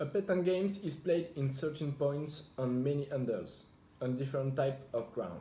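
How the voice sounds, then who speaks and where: A man with a French accent, a fairly high pitch and a dark, mellow tone, somewhat breathy, at a moderate pace with ordinary pitch variation. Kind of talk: interview answer.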